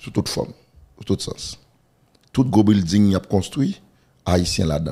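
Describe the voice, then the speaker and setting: A man speaks in a dark, mellow tone at a fairly low pitch. The background is quiet. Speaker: pastor. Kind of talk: interview. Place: studio. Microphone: studio mic.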